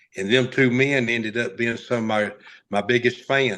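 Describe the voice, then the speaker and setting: Against a quiet background, a man of medium pitch with a Southern US accent speaks at a fairly slow pace with fairly even intonation. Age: 60s. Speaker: race car driver. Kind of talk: interview storytelling. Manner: halting.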